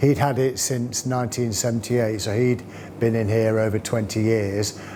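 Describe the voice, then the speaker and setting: A man speaks at a medium pitch in a monotone, flat delivery. Noticeable background noise sits behind him. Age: 60s. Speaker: butcher, small shop owner. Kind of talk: interview. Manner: halting, many fillers.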